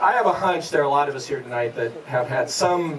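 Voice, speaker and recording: Noticeable noise sits in the background. The delivery is moderately paced, with ordinary pitch variation. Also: man. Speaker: fundraiser host or board member. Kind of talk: informal speech to guests. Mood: warm, nostalgic. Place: garden.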